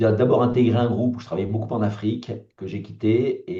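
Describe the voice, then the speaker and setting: The man's tone is dark and mellow. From France (born in Algeria, pied-noir). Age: 60s. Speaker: political candidate, entrepreneur. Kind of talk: interview self-introduction. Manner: hesitant, many fillers.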